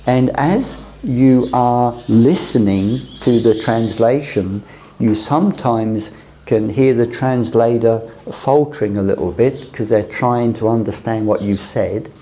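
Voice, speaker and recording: A man with a British accent at a fairly slow pace, medium pitch, and ordinary pitch variation, amid noticeable background noise and audible room echo. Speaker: teacher on a mission training course. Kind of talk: lecture.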